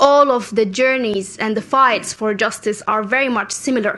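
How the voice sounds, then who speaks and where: In a Sudanese accent, a woman talks at a fairly slow pace with a bright, sharp tone, a fairly high pitch and ordinary pitch variation. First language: Arabic. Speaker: youth climate activist. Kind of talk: conference speech.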